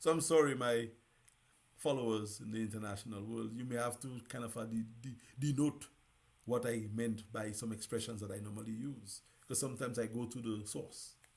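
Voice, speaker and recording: The speech moves at a fairly quick pace, with audible room echo. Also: man, medium pitch for a man. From Dominica. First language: Dominican Creole. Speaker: radio host. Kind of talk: live talk show monologue. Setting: live broadcast. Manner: animated.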